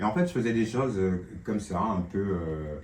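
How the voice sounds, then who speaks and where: Noticeable background noise and audible room echo around a moderately paced male voice. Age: 60s. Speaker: tenant interviewed about gambling addiction. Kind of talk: testimony. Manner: halting, many hesitations.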